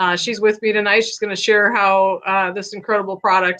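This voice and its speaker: A woman's voice, fairly high in pitch. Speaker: CBD product seller. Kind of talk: product testimonial interview. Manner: halting, many fillers.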